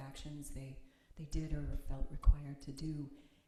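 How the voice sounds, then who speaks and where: In an American accent, a woman speaks with a very deep, low pitch and monotone, flat intonation at a fairly slow pace. Noticeable background noise and audible room echo surround her voice. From United States. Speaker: minister and meditation teacher. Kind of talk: sermon; guided meditation. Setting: chapel with audience, streamed on video call. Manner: halting. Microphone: too quiet for online listeners.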